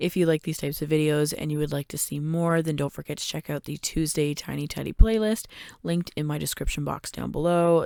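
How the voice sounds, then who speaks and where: A woman's very deep, low voice at a fairly quick pace with fairly even intonation, on a very clean recording with a silent background and a dry, close sound with no echo. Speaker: home organizing vlogger. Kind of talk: voiceover outro. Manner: casual, chatty.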